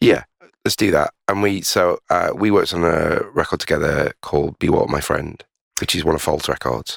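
A man with a Yorkshire accent is heard in a dry, close sound with no echo. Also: moderate pace. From Leeds, northern England. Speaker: podcast host, record label co-director. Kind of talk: casual chat. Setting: basement studio.

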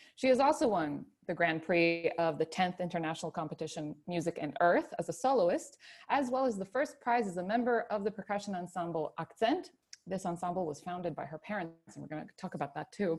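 A woman's plain, everyday voice, fairly low in pitch, with lively intonation, a fairly quick pace and big swings in loudness. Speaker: podcast host. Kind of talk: interview.

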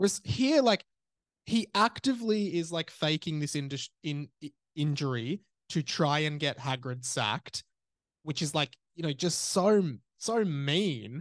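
Fairly high-pitched man with an Australian accent and lively intonation at a fairly slow pace, in a dry, close sound with no echo against a quiet background. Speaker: podcast host. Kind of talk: casual chat. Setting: remote call.

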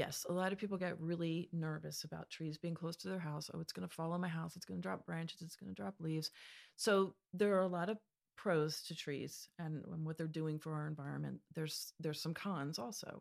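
A woman with a normal speaking voice and an American accent talks at a fairly low pitch with ordinary pitch variation. The recording is very clean, with a silent background. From Pennsylvania. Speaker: landscape architect. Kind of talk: casual interview.

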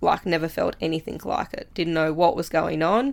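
On a very clean recording with a silent background, a woman speaks with an Australian accent. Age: 20s. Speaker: farmer and riding instructor. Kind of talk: casual interview chat. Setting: studio.

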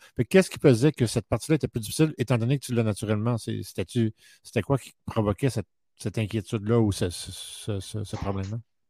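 The voice has a dark, mellow tone, somewhat breathy, at a fairly quick pace with ordinary pitch variation and big swings in loudness. The recording is very clean with a silent background and a dry, close sound with no echo. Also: man, medium pitch for a man. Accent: Quebec. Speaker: podcast host. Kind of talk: interview.

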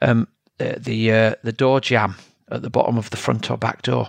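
A man talks at a moderate pace with a Yorkshire accent, the sound dry and close with no echo. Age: 50s. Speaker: triathlon coach and podcast host. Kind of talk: solo educational talk.

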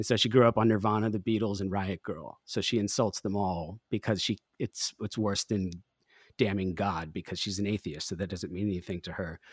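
In a normal speaking voice, a man with fairly low pitch talks fairly quickly and with fairly even intonation, the sound dry and close with no echo on a very clean recording with a silent background. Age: 40s. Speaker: musician and producer. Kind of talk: casual chat.

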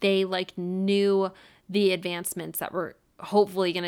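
An unremarkable speaking voice from a woman with an American accent comes through in a very clean recording with a silent background. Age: 30s. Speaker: true crime podcast host. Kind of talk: casual storytelling monologue. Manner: casual, laughs often.

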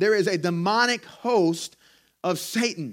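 Speaking in a Southern US accent with an animated tone, a man is heard on a very clean recording with a silent background. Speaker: pastor. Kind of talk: sermon. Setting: church. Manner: animated, exhortative preaching.

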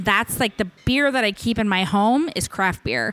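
The speaker has a Midwestern American accent and talks at a moderate pace. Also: woman. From Kansas, Hutchinson. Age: 40s. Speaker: podcast guest. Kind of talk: casual chat.

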